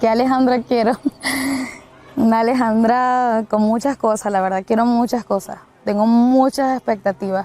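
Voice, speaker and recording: A woman's fairly high voice in a dark, mellow tone, with fairly even intonation and very even loudness. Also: moderate pace. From Venezuela. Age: 20s. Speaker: student. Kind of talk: interview. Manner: hesitant with fillers.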